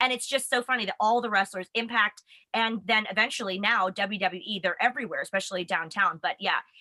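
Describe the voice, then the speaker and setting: With an American accent, a woman talks at a fairly quick pace in a fairly high pitch. Her tone is animated, bright and sharp, and the sound is dry and close with no echo. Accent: American, noticeable in England. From United States. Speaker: wrestling web show host. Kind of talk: casual chat.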